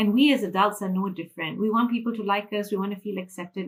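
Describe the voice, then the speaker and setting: Speaking at a very fast pace, a woman with a Malaysian accent uses a medium pitch. Her voice is somewhat breathy. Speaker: financial freedom mentor. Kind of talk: interview.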